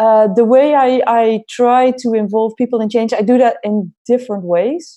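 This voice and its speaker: A dark, mellow tone in a Dutch accent, at a moderate pace with hardly any pauses and ordinary pitch variation. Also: woman, fairly high pitch for a woman. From Netherlands. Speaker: head of innovation at an airline. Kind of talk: interview.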